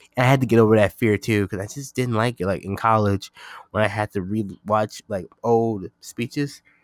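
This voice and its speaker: A man uses a normal speaking voice, fairly low in pitch, at a moderate pace. His intonation stays fairly even, and the sound is dry and close with no echo. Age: 20s. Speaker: podcast host and YouTuber. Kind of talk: casual solo podcast monologue. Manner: casual, filler-heavy.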